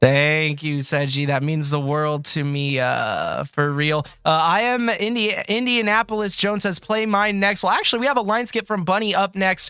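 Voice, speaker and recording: A man speaks in a raised, projected voice at a moderate pace with hardly any pauses. His pitch is high for a man, and his intonation is lively. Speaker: music artist and stream host. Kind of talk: livestream music feedback chat.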